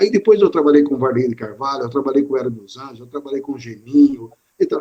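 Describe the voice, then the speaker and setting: An unremarkable speaking voice, a man's, fairly high in pitch with ordinary variation and a fairly quick pace. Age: 60s. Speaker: sports radio presenter. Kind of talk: interview on live stream. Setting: online live stream.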